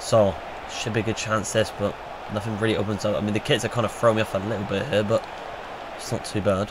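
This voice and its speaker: A man with a fairly low voice talks at a very fast pace in a flat monotone, breaking often with long pauses over noticeable background noise. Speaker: gaming YouTuber. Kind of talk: gameplay commentary. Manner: casual, self-correcting.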